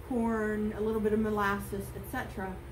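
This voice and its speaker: A woman talks over noticeable background noise. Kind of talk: tutorial. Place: farm machine.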